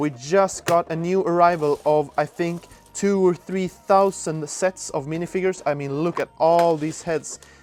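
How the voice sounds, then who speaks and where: A man speaks with a Swedish accent in a high pitch. His intonation is fairly even and his pace moderate. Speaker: store employee. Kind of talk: store tour vlog. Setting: outdoors then inside store. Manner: casual, somewhat halting with fillers.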